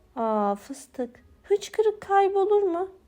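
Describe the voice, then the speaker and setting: A squeaky, put-on character voice from a woman, extremely high-pitched and very slow. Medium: read story. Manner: easygoing, absent-minded.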